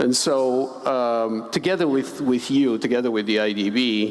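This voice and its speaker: Against noticeable background noise, a man speaks at a fairly slow pace and medium pitch with ordinary pitch variation. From Bulgaria. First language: Bulgarian. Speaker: finance expert, panelist. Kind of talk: panel discussion. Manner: hesitant, many fillers and repetitions.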